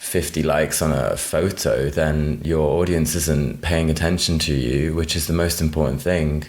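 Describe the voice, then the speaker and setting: Against noticeable background noise, a man with a British accent speaks at a moderate pace in a very deep, low pitch, with monotone, flat intonation and very even loudness. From United Kingdom. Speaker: drag queen. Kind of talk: podcast interview. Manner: casual, many fillers like 'like'.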